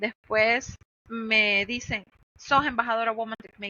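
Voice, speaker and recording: A woman talks at a moderate pace with an ordinary speaking voice. Her pitch sits fairly high. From Honduras. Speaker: cloud infrastructure engineer. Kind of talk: podcast interview.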